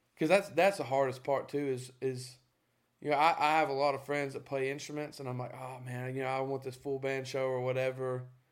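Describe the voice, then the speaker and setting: A man has an ordinary speaking voice at a medium pitch. He talks at a fairly quick pace with fairly even intonation. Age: 20s. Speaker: musician. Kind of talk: casual chat.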